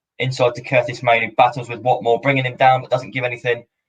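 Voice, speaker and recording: A man speaks at a medium pitch with a somewhat breathy voice and a fairly quick pace. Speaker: football fan streamer. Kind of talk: live watch-along commentary. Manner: casual, chatty.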